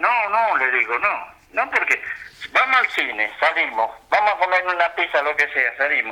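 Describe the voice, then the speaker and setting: This man speaks with a Rioplatense accent at a high pitch, using very wide pitch swings. His loudness stays very even. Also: moderate pace. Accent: Argentine Rioplatense Spanish. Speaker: retired footballer. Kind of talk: interview.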